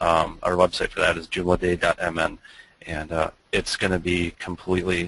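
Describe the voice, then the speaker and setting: A man with a strong Minnesota accent, very deep and low in pitch, bright and sharp in tone, in a dry sound with no echo. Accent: Minnesota accent, thick. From Minnesota, US Midwest. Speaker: web agency owner, webinar presenter; webinar presenter. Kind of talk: webinar presentation. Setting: online webinar, screen share. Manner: hesitant, many fillers. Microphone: video call.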